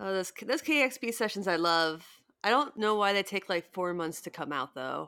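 Speaking at a moderate pace with an American accent, a woman has a bright, sharp tone at medium pitch. Her pitch swings very widely, and the recording is very clean with a silent background. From US Midwest. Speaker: podcast co-host. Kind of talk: casual chat.

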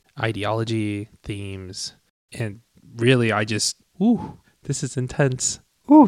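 Man with an American accent at medium pitch, on a very clean recording with a silent background. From Tucson, Arizona. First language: Cantonese. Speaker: podcast co-host. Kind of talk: casual chat.

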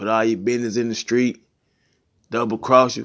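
A man talks at a moderate pace. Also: quiet background. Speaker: podcast host. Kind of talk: angry rant, solo monologue. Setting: solo recording, no guest. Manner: emphatic, heated, blunt, repeating 'man' and 'you know what I'm saying'.

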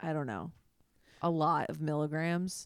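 A woman with an American accent speaks at a very deep, low pitch. The sound is dry and close, with no echo. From Chicago suburbs. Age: 30s. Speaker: podcast host and comedian. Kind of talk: casual chat.

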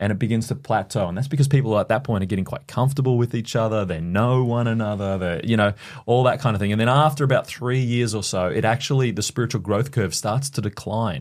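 An Australian-accented man talks very fast with hardly any pauses, medium pitch and ordinary pitch variation, on a very clean recording with a silent background. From Queensland, Australia. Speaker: church leader. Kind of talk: podcast interview.

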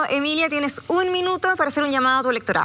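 A woman with a raised, projected voice, high in pitch, bright and sharp in tone, with lively intonation. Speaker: debate moderator. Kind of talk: debate moderation.

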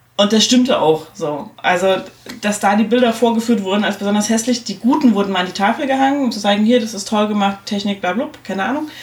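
A woman speaks very fast at a medium pitch with ordinary pitch variation, and there is noticeable background noise. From East Germany. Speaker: podcast host. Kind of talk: casual chat. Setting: studio.

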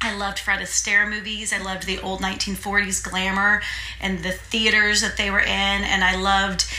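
Speaking at a fairly slow pace with an American accent, the voice comes through audible room echo and noticeable background noise. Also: woman. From US Midwest (Terre Haute, Indiana). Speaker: theatre owner and performer. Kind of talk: casual interview chat. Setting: on location.

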